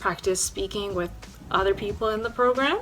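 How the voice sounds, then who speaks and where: A woman's pitch varies in an ordinary way while music plays behind her. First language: Spanish. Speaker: university student. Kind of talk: informational talk to camera.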